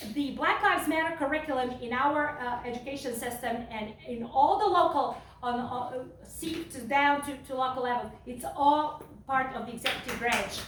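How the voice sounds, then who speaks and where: A woman's high-pitched voice with a non-native accent, at a moderate pace, with ordinary pitch variation, big swings in loudness and audible room echo. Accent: foreign. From Serbia. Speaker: political candidate. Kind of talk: campaign speech. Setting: fundraiser event with audience. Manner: impassioned.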